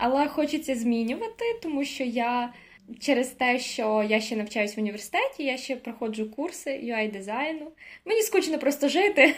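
Lively intonation at a moderate pace. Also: woman, high pitch for a woman. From Ukraine (Koziatyn, Vinnytsia region). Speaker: university student. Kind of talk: casual chat.

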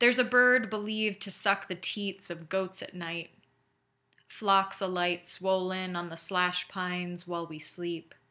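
The voice has a bright, sharp tone, moving at a fairly slow pace with fairly even intonation on a very clean recording with a silent background. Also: woman, medium pitch for a woman. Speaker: poet. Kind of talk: poetry reading, measured and literary. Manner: deliberate, measured, lyrical.

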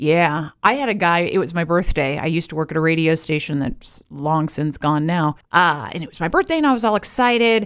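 A woman's fairly low pitch, an ordinary speaking voice, with lively intonation at a fairly quick pace. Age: 40s. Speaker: podcast host. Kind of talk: casual chat.

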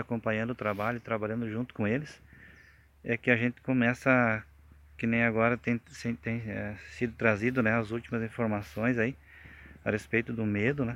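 Flat, monotone intonation marks this man's medium-pitched voice at a moderate pace. The recording is very clean with a silent background. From Rio Grande do Sul, Brazil. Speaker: beekeeper and spiritual group member giving testimony. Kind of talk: testimony. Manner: halting.

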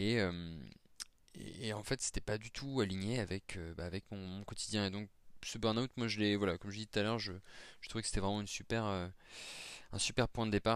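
Fairly even intonation and a fairly quick pace from a man with a fairly low pitch. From France, Nancy (Lorraine). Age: 30s. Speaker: professional in career transition. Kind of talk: testimony. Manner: halting, many repetitions and fillers.

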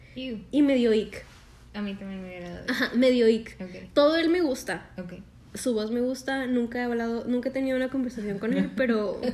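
Speaking at a fairly quick pace with a plain, everyday voice, a woman has a fairly high pitch, ordinary pitch variation and big swings in loudness. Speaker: podcast co-host. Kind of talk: casual chat.

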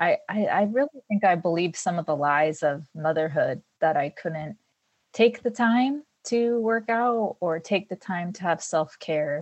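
A woman with a normal speaking voice talks at a fairly slow pace and a fairly low pitch, her intonation lively. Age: 40s. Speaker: mother of three, longtime fitness client. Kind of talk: interview conversation.

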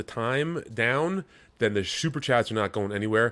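A man speaks at a moderate pace with lively intonation and a medium pitch. He has an ordinary speaking voice. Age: 40s. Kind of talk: casual chat.

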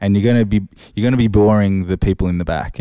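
A man with an Australian accent talks at a moderate pace in a dark, mellow tone. The sound is dry and close with no echo, a very clean recording with a silent background. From Australia, Sydney. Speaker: DJ and equipment tutor. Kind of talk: casual interview. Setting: studio.

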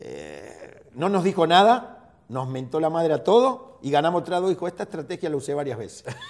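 Over noticeable background noise, a man with a high pitch speaks at a moderate pace with lively intonation, big swings in loudness and hardly any pauses. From Argentina. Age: 50s. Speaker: football coach and former player. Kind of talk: interview.

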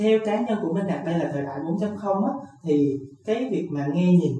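Audible room echo and noticeable background noise surround a man's voice. He speaks fairly slowly with ordinary pitch variation. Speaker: podcast host. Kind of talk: interview.

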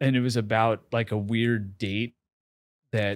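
The voice, a plain, everyday voice with an American accent, is heard on a very clean recording with a silent background. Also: man. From US Northeast, New York City. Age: 40s. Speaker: marketing executive and social media creator. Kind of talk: casual interview.

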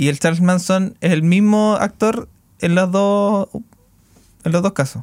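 With a Chilean accent, a man speaks at a fairly slow pace with long, frequent pauses and very even loudness. His high pitch shows ordinary variation, in a dry, close sound with no echo. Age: 20s. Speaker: podcast host. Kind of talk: casual chat.

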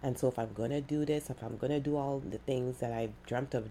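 Fairly quick speech carries vocal fry and fairly even intonation. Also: woman. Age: 40s. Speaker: podcaster. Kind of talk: casual monologue. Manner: rambling, with many fillers.

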